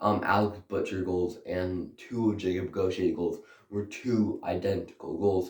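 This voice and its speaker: Speaking at a fairly slow pace, a man with a fairly low pitch sounds somewhat breathy and uses a monotone, flat intonation. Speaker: hockey YouTuber. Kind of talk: casual hockey game review to camera.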